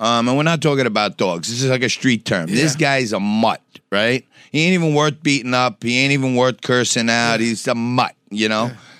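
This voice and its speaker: With a New York accent, a man talks at a fairly quick pace and medium pitch, his loudness very even and his pitch variation ordinary, in a dry, close sound with no echo. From New York City, Lower East Side and Staten Island. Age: 50s. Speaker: businessman, TV personality. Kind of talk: casual interview chat.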